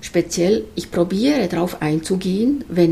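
At a fairly slow pace, a woman with an unremarkable speaking voice talks at a medium pitch with lively intonation. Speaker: herbal skincare maker. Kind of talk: interview. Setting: in person.

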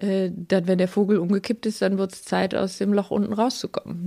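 With a dark, mellow tone, the voice moves at a fairly quick pace and keeps a fairly even intonation. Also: woman. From Aalen, Baden-Württemberg (Swabia). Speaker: veterinarian. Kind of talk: casual interview. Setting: at home on a sofa.

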